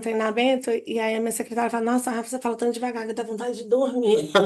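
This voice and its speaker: The intonation stays fairly even. Behind the voice, the background is quiet. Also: woman. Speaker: psychologist. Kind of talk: casual chat. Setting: video call. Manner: fast.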